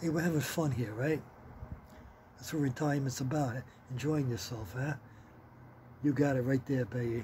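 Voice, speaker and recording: A man with a dark, mellow, somewhat breathy tone and medium pitch speaks at a moderate pace, leaving long, frequent pauses. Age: 60s. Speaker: retired vlogger. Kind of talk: casual chat. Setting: outdoors. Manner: casual, profane.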